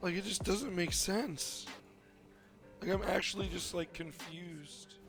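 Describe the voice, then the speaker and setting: Music plays in the background as a man speaks at a high pitch. His pace is fairly slow, with ordinary pitch variation. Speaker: gaming video creator. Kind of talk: gaming commentary narration.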